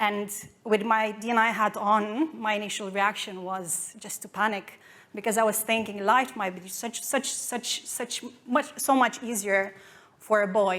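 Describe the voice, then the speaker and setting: Her medium-pitched voice carries a non-native accent and fairly even intonation. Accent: foreign. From Romania. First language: Romanian. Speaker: marketing executive. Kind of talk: conference talk. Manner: halting.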